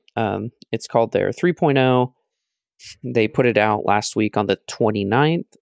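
A normal speaking voice at a fairly slow pace, with ordinary pitch variation, very even loudness, a quiet background, and a dry, close sound with no echo. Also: man, medium pitch for a man. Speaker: video game podcast co-host. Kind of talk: casual chat.

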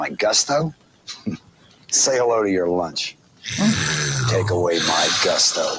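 Putting on a raspy character voice, a man with a fairly low pitch speaks at a fairly slow pace with lively intonation and long, frequent pauses.

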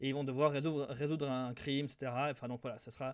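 At a very fast pace, a man speaks with a fairly high pitch and fairly even intonation. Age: 20s. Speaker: podcast co-host. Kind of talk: casual chat.

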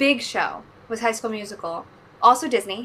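A woman's raised, projected voice, bright and sharp in tone, with lively intonation at a moderate pace. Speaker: stage actress. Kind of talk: casual chat. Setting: video call.

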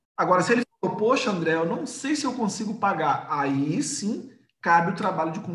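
Audible room echo surrounds a man who speaks at a moderate pace with lively intonation. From Rio de Janeiro, Brazil. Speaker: entrepreneur and sales expert. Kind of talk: casual interview, live stream.

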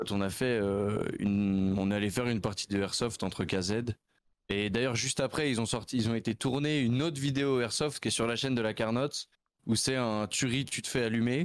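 In a very clean recording with a silent background, a man with an ordinary speaking voice talks at a moderate pace and medium pitch, with ordinary pitch variation and very even loudness. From Switzerland, canton of Vaud (near Nyon). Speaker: streamer. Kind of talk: casual interview.

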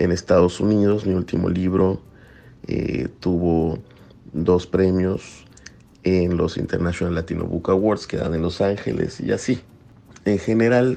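Speaking at a fairly slow pace, a man uses a very deep, low pitch with ordinary pitch variation. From Mexico, Yucatán. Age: 30s. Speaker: poet. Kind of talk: interview.

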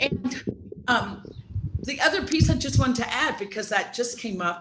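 Through noticeable background noise, a woman speaks with an American accent. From US East Coast (South Carolina, Washington D.C.). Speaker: grief doula and life coach. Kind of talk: interview. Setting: video call.

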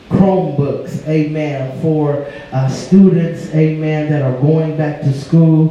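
A man speaks at a fairly high pitch with fairly even intonation. Noticeable background noise runs under his voice. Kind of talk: church service leading, devotional. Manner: fervent, every phrase punctuated by amen and hallelujah.

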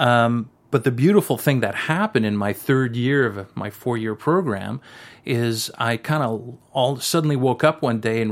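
Medium-pitched male speech in a French Canadian accent, with ordinary pitch variation and a moderate pace, in a very clean recording with a silent background. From French Canada. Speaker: cinematographer. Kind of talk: interview.

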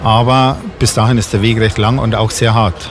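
Medium-pitched male voice with music in the background. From Bavaria, Bad Tölz. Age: 50s. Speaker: venue owner and event organizer. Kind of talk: radio interview. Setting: on location in a bar.

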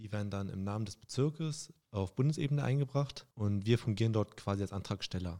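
Here a man talks at a fairly quick pace. He has a medium pitch and a dark, mellow tone. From Saxony-Anhalt, Germany (Stendal). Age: 20s. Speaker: railway clerk and union youth activist. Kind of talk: casual chat.

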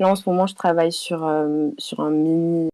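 At a moderate pace, a woman talks in a dark, mellow tone. Her pitch is fairly low and her intonation monotone and flat. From Toulouse, southern France. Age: 20s. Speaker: illustrator. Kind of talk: interview. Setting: remote call via Discord.

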